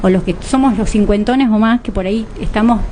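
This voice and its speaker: Noticeable background noise sits under the voice. The talking goes at a fairly quick pace. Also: woman. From Argentina. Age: 50s. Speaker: lawyer and social worker, co-host. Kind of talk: radio interview.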